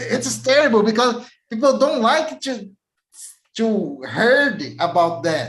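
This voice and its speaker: A man with a Portuguese accent speaks very slowly at a high pitch, his voice swinging very widely in pitch amid audible room echo. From Brazil. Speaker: IT technical lead. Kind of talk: interview. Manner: halting.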